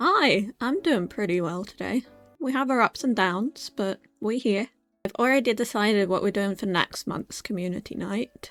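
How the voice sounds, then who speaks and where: With music in the background and a dry, close sound with no echo, a fairly high-pitched woman speaks at a moderate pace in an upbeat, playful tone with lively intonation. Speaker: VTuber / ASMR streamer. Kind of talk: casual chatty livestream talk to chat.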